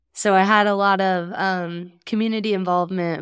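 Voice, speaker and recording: Monotone, flat delivery at a moderate pace, with dry, close sound, no echo, and a very clean recording over a silent background. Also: woman. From southwest Kansas. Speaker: veterinarian. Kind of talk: interview conversation.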